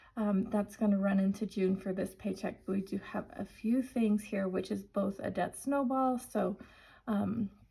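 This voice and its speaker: A woman speaks at medium pitch and a moderate pace. Her tone is dark and mellow, somewhat breathy, with fairly even intonation. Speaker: budgeting vlogger. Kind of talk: tutorial. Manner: casual, chatty.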